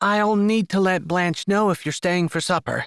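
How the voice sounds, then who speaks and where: A man's put-on character voice, high in pitch, at a very even loudness. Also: moderate pace, fairly even intonation. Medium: read story.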